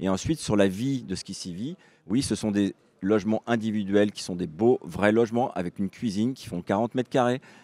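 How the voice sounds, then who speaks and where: A man's fairly low voice with ordinary pitch variation, dry and close with no echo. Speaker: housing organisation representative. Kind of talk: panel discussion. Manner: talkative, with fillers and restarts.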